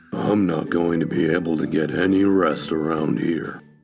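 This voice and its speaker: A man puts on a character voice, very deep and low. He keeps a moderate pace over faint background music. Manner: slow.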